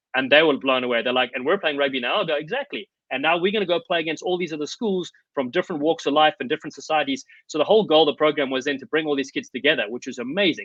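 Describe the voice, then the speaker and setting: A man talks at a very fast pace in a fairly high pitch. His tone is animated, with ordinary pitch variation. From South Africa. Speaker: former rugby player and coach. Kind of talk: podcast interview. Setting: remote call.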